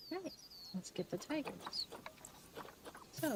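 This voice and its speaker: A quiet woman against noticeable background noise. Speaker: gaming streamer. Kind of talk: calm gaming commentary for sleep. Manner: low, quiet.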